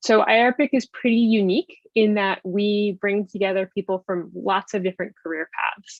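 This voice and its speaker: A woman speaks with hardly any pauses and fairly even intonation. Her pitch sits at a medium level. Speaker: webinar panelist presenting a research network program. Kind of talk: webinar presentation. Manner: fast.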